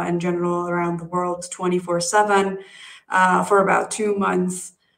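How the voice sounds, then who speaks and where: Against a quiet background, a woman with a fairly low voice talks at a very slow pace in a monotone, flat delivery. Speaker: researcher; conference speaker. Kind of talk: conference talk. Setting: video call. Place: home room. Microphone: webcam.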